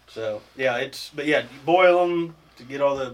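A man has a normal speaking voice with fairly even intonation. He talks at a fairly slow pace. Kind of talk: casual chat.

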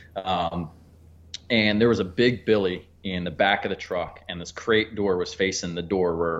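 In an American accent, a man uses a plain, everyday voice with fairly even intonation at a moderate pace. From Pennsylvania. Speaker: hunting and fishing guide, business owner. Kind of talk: casual interview chat. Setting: phone call.

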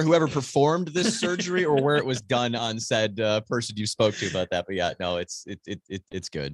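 Speaking at a fairly quick pace with hardly any pauses, a man with an American accent makes very wide pitch swings. His loudness also swings a lot. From Wisconsin, Green Bay. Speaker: radio host and kayak angler. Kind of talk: casual chat. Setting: remote call with studio mic setup.

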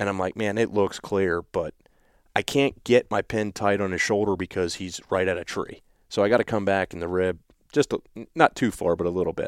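Recorded very cleanly against a silent background with a dry, close sound and no echo, a man with a normal speaking voice and an American accent talks fairly quickly at a fairly low pitch. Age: 40s. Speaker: deer hunter. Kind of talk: casual interview. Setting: home basement.

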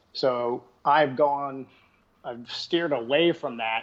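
Here a man talks with a Texan accent at a fairly high pitch. His intonation stays fairly even. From Texas. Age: 50s. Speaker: bowhunter and YouTuber. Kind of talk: casual interview chat.

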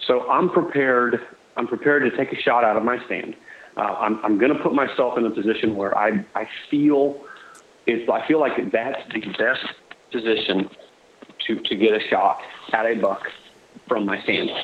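A man in a Florida accent, medium pitch with ordinary variation, moderate pace, and long, frequent pauses. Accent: US Southern (Florida). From Southwest Florida. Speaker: deer hunter. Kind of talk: casual chat.

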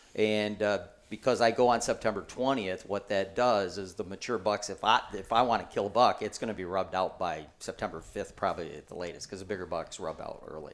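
A man with an American accent talks at a fairly quick pace, with hardly any pauses and big swings in loudness. His pitch is fairly low with ordinary pitch variation, and he has an ordinary speaking voice. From Michigan. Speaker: bowhunting author. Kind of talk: casual chat. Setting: indoors at a hunting gathering.

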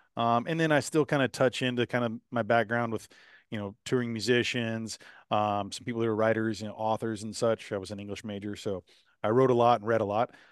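The speaker talks at a very fast pace with a Texan accent and fairly even intonation. The sound is dry and close with no echo, over a quiet background. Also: man, medium pitch for a man. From Texas, Houston area. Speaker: rancher and podcast host. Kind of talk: interview. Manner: casual with many fillers.

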